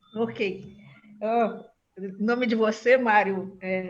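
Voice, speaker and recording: Against audible room echo, the speech moves at a very slow pace in a flat monotone. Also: woman. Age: 70s. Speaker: agricultural researcher. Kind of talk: panel discussion remarks. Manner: halting, many fillers.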